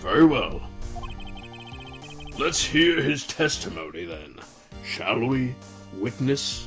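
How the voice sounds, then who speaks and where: Over clear background music, a man uses a put-on character voice at a medium pitch. He speaks at a very slow pace. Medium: fan dub. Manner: formal, slow, ponderous.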